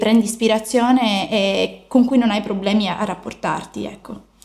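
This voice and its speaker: A woman's fairly high voice at a fairly slow pace, with fairly even intonation over noticeable background noise. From Sicily.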